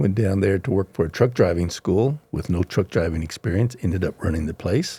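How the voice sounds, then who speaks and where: A man with an American accent speaks at a fairly low pitch with ordinary pitch variation, his voice somewhat breathy and dark and mellow in tone, on a very clean recording with a silent background. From Oklahoma, Cheyenne and Arapaho. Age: 70s. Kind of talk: interview.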